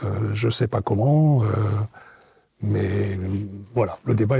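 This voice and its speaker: A man at a very slow pace, fairly low in pitch, with ordinary pitch variation. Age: 60s. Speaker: retiree, former business owner. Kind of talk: interview. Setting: studio set. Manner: hesitant, many fillers.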